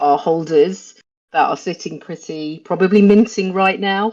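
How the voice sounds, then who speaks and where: Against a quiet background, a woman speaks with a British accent. Her tone is dark and mellow, and her pitch varies in an ordinary way. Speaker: NFT project team member hosting community call. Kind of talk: casual community call, explaining. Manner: hesitant, many fillers.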